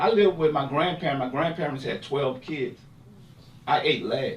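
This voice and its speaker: A loud man talks in an animated tone. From US inner city. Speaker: bereaved parent and advocate. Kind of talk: panel discussion.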